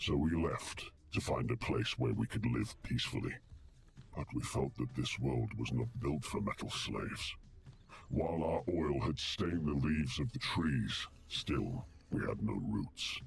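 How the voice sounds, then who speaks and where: A man uses a put-on character voice at a very deep, low pitch. He keeps a moderate pace over clear background noise. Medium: video game. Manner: solemn, measured.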